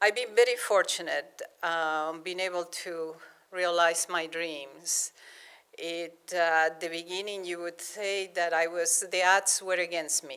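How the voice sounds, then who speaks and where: A woman with a Spanish accent talks at a fairly slow pace, her tone bright and sharp. Her pitch is fairly low, with fairly even intonation. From Argentina, Buenos Aires. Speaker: planetary scientist. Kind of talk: public lecture. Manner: halting, many repetitions.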